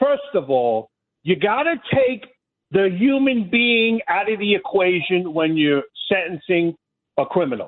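A man with a Brooklyn accent, high-pitched, his pitch swinging very widely, his loudness very even throughout. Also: fairly slow pace. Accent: New York (Brooklyn). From New York City (Brooklyn, Flatbush). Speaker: caller. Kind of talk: heated call-in rant. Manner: passionate.

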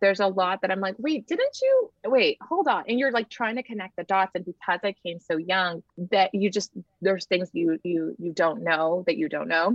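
This woman speaks at a moderate pace. Her pitch is medium, with ordinary variation. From Nicaragua, raised in South Texas. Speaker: model, actress and TV host. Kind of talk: casual interview chat. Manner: animated.

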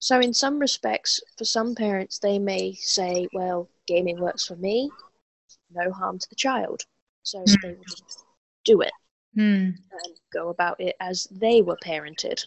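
A woman's fairly slow speech at medium pitch, with ordinary pitch variation, big swings in loudness, and long, frequent pauses. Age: 30s. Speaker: former gaming addict. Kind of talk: interview.

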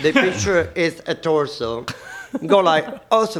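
Very slow speech over noticeable background noise. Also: man. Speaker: nightlife performer. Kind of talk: casual chat. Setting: studio. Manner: halting.

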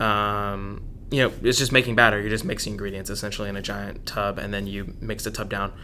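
With an American accent, a man speaks fairly quickly in a fairly low, bright, sharp voice whose loudness swings widely, and the room echo is audible. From Dallas, Texas. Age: 20s. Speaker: chef and food truck owner. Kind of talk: interview.

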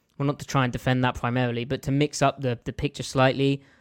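A man with an English accent speaks at a medium pitch in a monotone, flat intonation. The recording is very clean, with a silent background and a dry, close sound with no echo. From southern England (London). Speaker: football film analyst. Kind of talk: casual chat.

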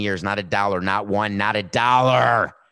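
Intonation here is fairly even. The voice has a bright, sharp tone. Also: man. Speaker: sports talk host. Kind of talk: casual sports commentary monologue. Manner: sarcastic.

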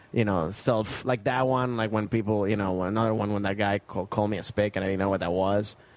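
A man with a strong non-native accent, fairly low pitch, fairly even intonation and a very fast pace. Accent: thick foreign. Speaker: comedian and actor. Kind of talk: casual chat.

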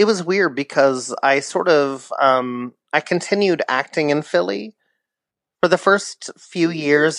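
In an ordinary speaking voice, a man with an American accent talks at a fairly slow pace with lively intonation, the sound dry and close with no echo against a quiet background. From San Diego, California. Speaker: stage actor. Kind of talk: casual interview chat.

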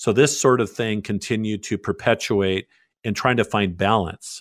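A man with a plain, everyday voice talks at a moderate pace and medium pitch, recorded very cleanly on a silent background with a dry, close sound and no echo. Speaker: pastor. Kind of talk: radio interview.

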